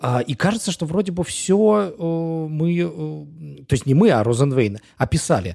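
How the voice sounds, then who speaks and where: With a dark, mellow tone and a fairly high pitch, a man speaks fairly slowly with very wide pitch swings and hardly any pauses. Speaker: podcast co-host. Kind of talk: podcast interview. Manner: hesitant, many fillers.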